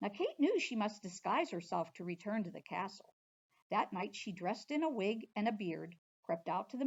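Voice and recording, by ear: In a quiet background, the speaker is reading aloud in a natural voice with lively intonation.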